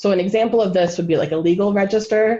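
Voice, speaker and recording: A woman with a Wisconsin accent speaks in a dark, mellow tone, her pitch moving in an ordinary way. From US Midwest, Wisconsin. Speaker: linguistic anthropologist. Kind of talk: lecture. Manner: casual, many fillers.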